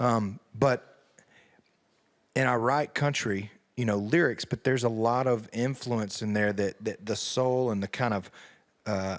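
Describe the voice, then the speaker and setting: Speaking at a fairly slow pace with long, frequent pauses, a man with an American accent keeps a fairly even intonation on a very clean recording with a silent background. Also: medium pitch for a man. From US South. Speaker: country singer. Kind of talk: interview. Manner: hesitant, repeats words.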